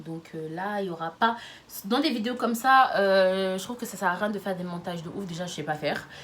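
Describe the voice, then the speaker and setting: A woman talks very fast in a fairly low voice. There is noticeable background noise and audible room echo. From France, Lyon. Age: 20s. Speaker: YouTuber. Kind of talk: casual vlog monologue. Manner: animated.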